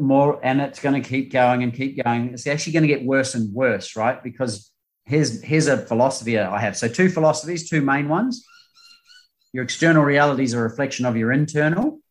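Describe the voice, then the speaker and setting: A man with a New Zealand accent, medium pitch, ordinary pitch variation and a fairly quick pace. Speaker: performance coach. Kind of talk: interview.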